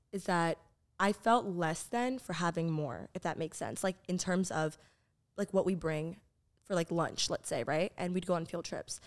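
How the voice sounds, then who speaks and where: Recorded very cleanly against a silent background with a dry, close sound and no echo, a woman with an American accent uses an ordinary speaking voice, a fairly low pitch, ordinary pitch variation, and a moderate pace. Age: 20s. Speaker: guest cousin. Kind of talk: casual chat.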